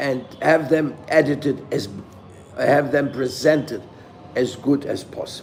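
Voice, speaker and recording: A man talks very slowly with a non-native accent. Room echo is audible. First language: not English. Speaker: spiritual teacher. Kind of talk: scripture lecture. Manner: halting.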